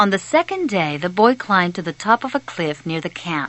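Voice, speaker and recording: A woman's voice with very wide pitch swings, amid noticeable background noise. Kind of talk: audiobook narration. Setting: phone recording.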